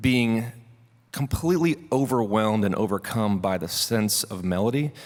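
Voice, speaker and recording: A man talks at a moderate pace with a medium pitch and ordinary pitch variation. It is an unremarkable speaking voice. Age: 40s. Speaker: songwriter and musician. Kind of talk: workshop talk. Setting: stage with audience. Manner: casual.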